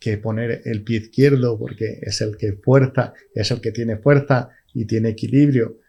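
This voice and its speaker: The voice moves at a very slow pace, somewhat breathy and dark, mellow in tone, with ordinary pitch variation. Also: man. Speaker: stroke survivor with aphasia. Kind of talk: podcast interview. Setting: studio. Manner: halting, repeats words.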